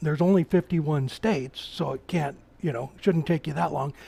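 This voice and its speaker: With an American accent, a man speaks at a high pitch and ordinary pitch variation. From Oregon, US Pacific Northwest. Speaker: woodturner. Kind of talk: live-stream tutorial with chat. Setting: workshop live stream. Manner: casual, halting with repetitions.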